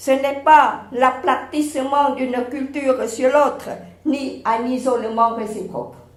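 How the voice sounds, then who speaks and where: A woman speaks very slowly in a high voice with a non-native accent. Audible room echo surrounds her words. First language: not French (speaking French). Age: 70s. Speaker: panel speaker on faith. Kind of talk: conference talk. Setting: round table with audience. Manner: measured.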